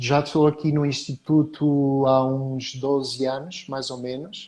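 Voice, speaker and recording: A man with a fairly high pitch and a dark, mellow tone at a very slow pace. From Portugal. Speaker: professor. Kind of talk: interview.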